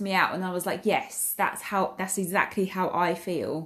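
A woman at medium pitch in an Essex accent, speaking at a moderate pace. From England, Essex. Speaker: accountant and dance school owner podcaster. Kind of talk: casual monologue. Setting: at home. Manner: hesitant, many fillers.

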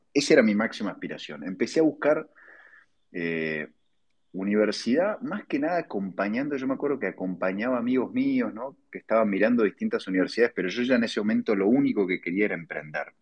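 Very fast and full of lively intonation, a man's voice races along. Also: medium pitch for a man. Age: 40s. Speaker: entrepreneur. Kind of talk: interview.

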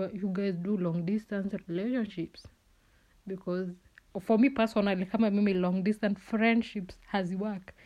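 A woman speaks at a fairly slow pace. Her tone is animated. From Kenya, Kisii (Keumbu). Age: 20s. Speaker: podcast host. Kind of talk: casual solo monologue. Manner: animated, frequent laughter.

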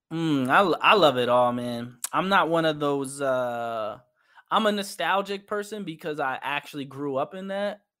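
A man in a New York accent, fairly high-pitched with lively intonation, at a moderate pace. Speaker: visual artist and musician. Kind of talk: casual interview.

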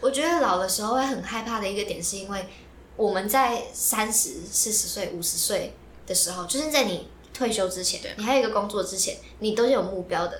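Noticeable background noise and audible room echo surround the speaker. A woman talks at a fairly quick pace with a fairly high voice. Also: ordinary pitch variation. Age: 20s. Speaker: podcast co-host, student. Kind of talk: casual chat. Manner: animated.

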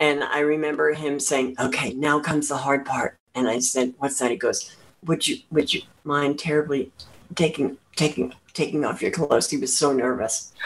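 Speaking at a moderate pace, a woman has a very deep, low pitch. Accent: American. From central New Jersey. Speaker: former adult performer and educator. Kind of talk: casual interview chat.

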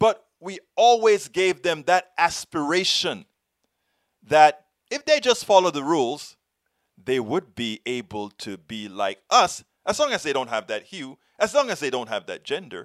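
A man's high-pitched voice at a fairly slow pace, with very wide pitch swings and big swings in loudness, the sound dry and close with no echo. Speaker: video commentator and podcast host. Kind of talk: rally or protest speech, passionate commentary on American history and racism. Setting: online video channel. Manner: impassioned, forceful, rhetorical; emphatic, repeating phrases for effect.

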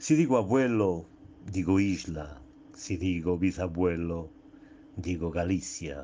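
A man talks at a very slow pace in a very deep, low pitch with ordinary pitch variation. His tone is dark and mellow. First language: Portuguese (speaking Spanish). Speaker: poet. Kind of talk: poetry reading. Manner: halting.

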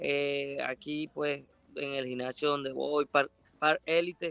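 Dry and close with no echo, a man speaks at a very slow pace with fairly high pitch and monotone, flat intonation. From Venezuela, Ciudad Bolívar. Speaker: professional boxer. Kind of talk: interview. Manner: halting.

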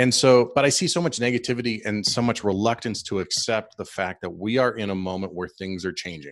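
With an ordinary speaking voice, a man talks at a fairly quick pace in a fairly low pitch, using lively intonation and hardly any pauses against a quiet background. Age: 40s. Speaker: podcast host and police sergeant. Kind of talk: casual interview.

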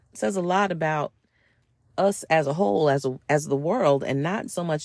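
Fairly quick and very deep, a woman's voice carries an American accent. Vocal fry runs through her speech. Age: under 65. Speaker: podcast host. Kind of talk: solo podcast monologue. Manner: conversational.

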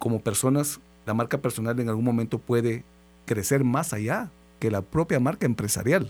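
An unremarkable speaking voice from a man, medium in pitch with ordinary pitch variation, at a fairly quick pace on a very clean recording with a silent background. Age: 40s. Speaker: radio host. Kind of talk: radio interview. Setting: radio studio.

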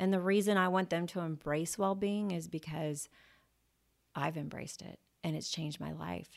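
A woman with a plain, everyday voice talks at a moderate pace, her pitch fairly low and her intonation fairly even. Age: 40s. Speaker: podcast host and insurance entrepreneur. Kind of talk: monologue podcast talk. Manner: casual, with frequent filler words.

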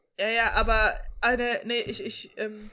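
A woman speaks at a fairly slow pace, her high-pitched voice carrying a bright, sharp tone. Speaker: podcast co-host. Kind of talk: casual chat. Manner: animated.

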